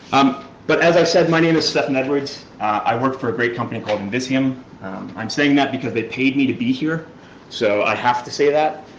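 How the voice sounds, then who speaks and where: Amid noticeable background noise and audible room echo, a man with an American accent talks at a fairly quick pace and medium pitch with ordinary pitch variation. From New York. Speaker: security researcher, conference speaker. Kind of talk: conference talk. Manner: fast.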